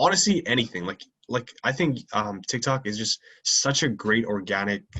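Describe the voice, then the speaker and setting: Here a man speaks at medium pitch and a moderate pace. His intonation is lively. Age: young. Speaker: podcast host and content creator. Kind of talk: casual chat. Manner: halting, many fillers.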